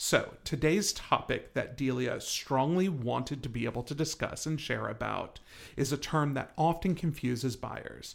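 Recorded very cleanly against a silent background, a man speaks with vocal fry and ordinary pitch variation. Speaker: real estate agent and podcast host. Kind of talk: casual chat.

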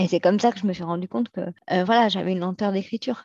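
Recorded dry and close with no echo against a quiet background, a woman speaks with ordinary pitch variation. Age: 40s. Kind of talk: interview testimony. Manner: hesitant, many fillers.

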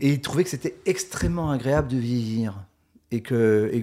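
A man's dark, mellow voice at medium pitch, moderate pace and ordinary pitch variation, on a very clean recording with a silent background. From rural France. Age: 50s. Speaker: author. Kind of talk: casual interview. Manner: halting, many repetitions.

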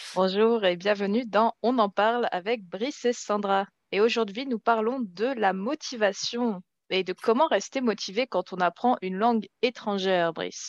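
A woman with a normal speaking voice, fairly high in pitch, at a moderate pace with ordinary pitch variation, in a dry, close sound with no echo and a quiet background. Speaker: French teacher co-presenter. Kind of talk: casual conversational chat in French.

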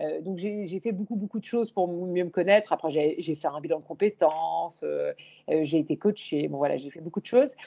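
A woman's plain, everyday voice, fairly low in pitch, at a moderate pace, with ordinary pitch variation and big swings in loudness. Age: 40s. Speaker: YouTuber and image coach. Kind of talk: interview conversation.

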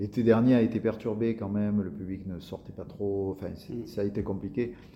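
A somewhat breathy man at a moderate pace, with audible room echo. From Marseille area, southern France. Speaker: actor. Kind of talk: interview.

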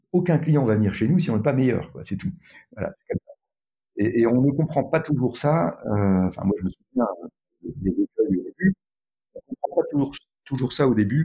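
A man with a fairly high, dark and mellow, somewhat breathy voice speaks with lively intonation, big swings in loudness and long, frequent pauses, in a dry, close sound with no echo. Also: moderate pace. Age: 60s. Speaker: tech entrepreneur. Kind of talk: interview conversation.

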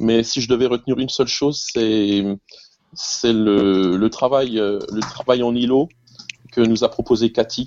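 A man speaks with an Alsatian accent and fairly even intonation. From Alsace, France (Colmar). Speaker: music teacher. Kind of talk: casual chat.

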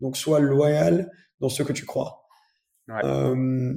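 A man is speaking. His pace is very slow. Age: 20s. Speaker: automotive YouTuber. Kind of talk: casual interview.

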